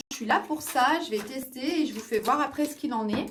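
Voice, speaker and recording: Her voice sits high, and this woman's pitch varies in an ordinary way. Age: 40s. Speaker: beauty vlogger. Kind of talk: product review vlog. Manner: hesitant, many fillers.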